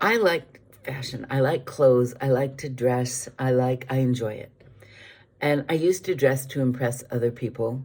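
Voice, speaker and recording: Her pitch is very deep and low, with ordinary pitch variation. The woman talks at a moderate pace. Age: 70s. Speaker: vlogger. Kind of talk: casual chat. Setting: video recorded on iPad. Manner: hesitant, many fillers.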